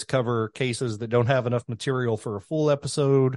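A man with a Kentucky accent, medium-pitched and very fast, in a dry, close recording with no echo over a quiet background. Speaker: podcast host. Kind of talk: casual chat.

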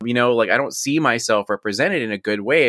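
A man talks at a very fast pace in a bright, sharp tone at medium pitch with ordinary pitch variation, on a very clean recording with a silent background and a dry, close sound with no echo. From Mexican-American, US. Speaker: game designer and streamer. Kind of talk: interview.

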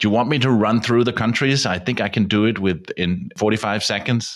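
A man with a Danish accent and ordinary pitch variation. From Denmark. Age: 50s. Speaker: radio producer and travel podcaster. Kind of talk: casual interview chat. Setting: video call.

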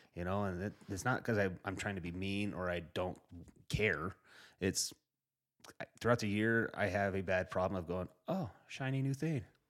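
A man in an American accent with an ordinary speaking voice, fairly low in pitch, ordinary pitch variation, moderate pace, in a very clean recording over a silent background. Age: 30s. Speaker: podcast host. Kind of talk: casual chat. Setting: studio.

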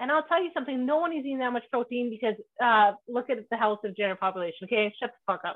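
A woman talks at a very fast pace in a high pitch. Her tone is animated. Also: lively intonation. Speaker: podcast host. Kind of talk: casual chat.

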